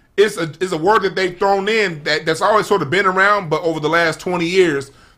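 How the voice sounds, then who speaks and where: A man with an American accent projects a raised voice that is high in pitch and bright, sharp in tone, moving at a fairly quick pace. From South Central Los Angeles. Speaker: former youth worker. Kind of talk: casual chat.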